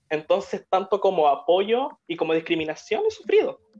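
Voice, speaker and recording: Music plays in the background as a woman speaks. Her pace is moderate and her pitch variation ordinary. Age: 20s. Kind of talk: live stream interview chat.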